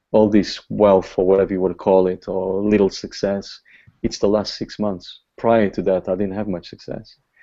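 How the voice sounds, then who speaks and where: In a Portuguese accent, a man speaks with monotone, flat intonation. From Portugal. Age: 40s. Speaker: online marketing top earner. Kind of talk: motivational talk. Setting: video call.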